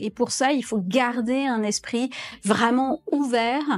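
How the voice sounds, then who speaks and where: A woman with a high-pitched voice speaks with fairly even intonation. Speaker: consultant and business school lecturer. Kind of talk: interview testimonial.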